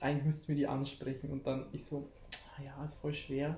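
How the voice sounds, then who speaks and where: Somewhat breathy and fairly high-pitched, a man speaks with monotone, flat intonation. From Lower Bavaria (Landshut). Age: 20s. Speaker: podcast host. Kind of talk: casual chat.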